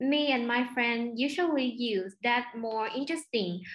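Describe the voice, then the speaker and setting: Her pitch is high. This woman's voice varies in pitch in an ordinary way. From Vietnam. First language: Vietnamese. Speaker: overseas student. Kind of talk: interview. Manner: halting.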